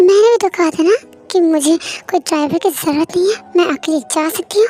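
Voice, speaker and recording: A woman's put-on character voice at an extremely high pitch, very fast pace and ordinary pitch variation, with faint music in the background. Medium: read story. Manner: bold, sassy.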